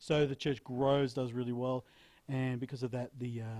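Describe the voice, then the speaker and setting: With an Australian accent, a man talks at a fairly quick pace in a dark, mellow tone, his medium-pitched voice flat and monotone. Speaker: actor and film director. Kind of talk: interview.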